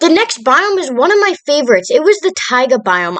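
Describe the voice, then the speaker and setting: A woman talks at a moderate pace with very wide pitch swings. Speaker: Minecraft YouTuber. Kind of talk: gameplay build narration.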